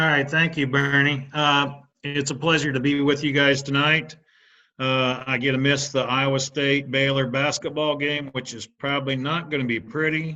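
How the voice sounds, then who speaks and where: A man with a Midwestern US accent speaks at a moderate pace in a fairly high, bright, sharp voice with monotone, flat intonation. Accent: US Midwest. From Indiana. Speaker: animal nutrition specialist. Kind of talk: webinar presentation. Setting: online webinar. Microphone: unstable internet connection.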